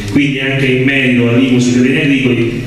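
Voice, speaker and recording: Strong room echo surrounds a man's voice. There is light background noise. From Lazio, Italy. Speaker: political representative. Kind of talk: public talk at a conference. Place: hall.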